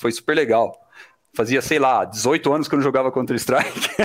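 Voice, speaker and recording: Delivered at a fairly quick pace, this man's fairly high pitch and fairly even intonation form an ordinary speaking voice. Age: 30s. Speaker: IT development manager. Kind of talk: casual interview.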